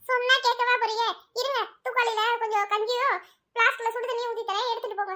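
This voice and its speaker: A woman's cartoonish character voice, extremely high-pitched and monotone, flat in intonation, at a moderate pace. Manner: scolding, exasperated.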